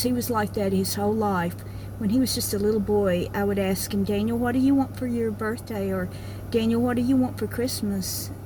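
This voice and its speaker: A woman with a very deep, low pitch talks at a moderate pace with fairly even intonation, amid noticeable background noise and audible room echo. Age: 60s. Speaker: vlogger. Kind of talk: casual personal monologue. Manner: halting, many fillers.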